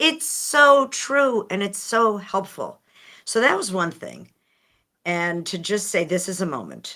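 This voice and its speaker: In an American accent, a woman speaks fairly slowly at a medium pitch with a bright, sharp tone and vocal fry. Her pitch swings very widely, and the recording is very clean with a silent background. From United States. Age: 60s. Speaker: author and speaker. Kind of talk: podcast interview.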